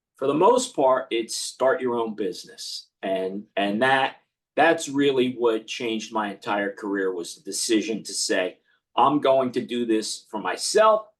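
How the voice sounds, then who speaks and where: In a normal speaking voice, someone talks at a fairly slow pace with ordinary pitch variation. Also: man, medium pitch for a man. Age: 50s. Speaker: accountant and business owner. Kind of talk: podcast interview.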